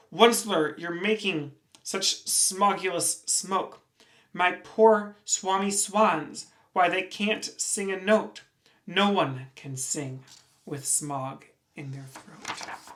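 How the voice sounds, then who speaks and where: Very slow and pitched in the middle, the put-on character voice sounds croaky and raspy. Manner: scolding, complaining.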